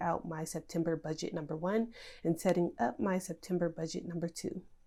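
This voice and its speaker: With an American accent, a woman speaks at a fairly low pitch in a dark, mellow tone. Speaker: budgeting YouTuber. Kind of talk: tutorial. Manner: casual, filler-heavy.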